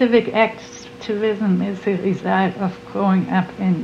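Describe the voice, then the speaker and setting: Amid noticeable background noise, a woman with a German accent speaks at a very slow pace, her medium pitch showing ordinary variation. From Germany, Hamburg area. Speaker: award recipient, civic activist. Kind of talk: interview testimony.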